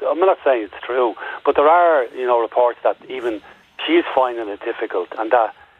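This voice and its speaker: In an Irish accent, a man speaks. His pitch sits in the medium range. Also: ordinary pitch variation, moderate pace. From Ireland. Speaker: caller. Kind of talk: phone-in radio discussion. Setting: phone call.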